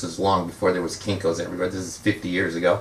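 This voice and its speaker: A man with a Californian accent is heard over noticeable background noise. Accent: Californian American. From US West Coast, San Fernando Valley, California. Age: 60s. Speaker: magician and author. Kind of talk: book talk with anecdotes. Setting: bookstore event with audience. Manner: hesitant, many fillers (uh, um).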